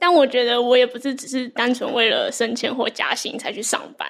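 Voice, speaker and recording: With a high pitch and a monotone, flat intonation, a woman speaks at a fairly quick pace. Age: young. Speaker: reading notes creator, co-host. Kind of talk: live book club discussion. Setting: live event with audience.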